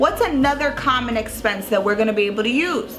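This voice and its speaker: A woman with an American accent at a moderate pace, ordinary pitch variation, and music in the background. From Long Island, New York. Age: 20s. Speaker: tax professional. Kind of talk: casual educational talk to camera.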